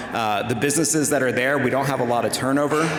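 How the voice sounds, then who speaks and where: Through audible room echo and noticeable background noise, a man speaks in a flat monotone. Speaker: city manager. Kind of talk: public talk to event audience. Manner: soft-spoken.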